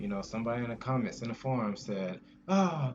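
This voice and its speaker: Background noise is clearly present. Words come out at a fairly quick pace. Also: man. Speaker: video game player. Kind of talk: casual talk to camera.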